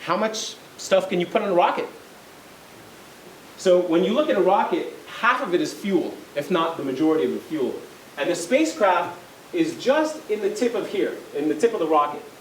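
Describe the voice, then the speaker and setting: Amid audible room echo and noticeable background noise, a man with a non-native accent talks at a moderate pace in a high voice with very wide pitch swings, leaving long, frequent pauses. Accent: foreign. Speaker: lawyer and space company executive. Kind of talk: lecture. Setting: college lecture with audience.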